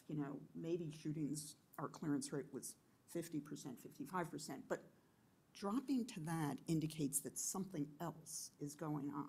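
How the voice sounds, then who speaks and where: A woman speaks with a very deep, low pitch and a dark, mellow tone. She sounds somewhat breathy and goes at a fairly slow pace. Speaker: criminal justice official; panelist. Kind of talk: panel discussion. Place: meeting room. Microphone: podium.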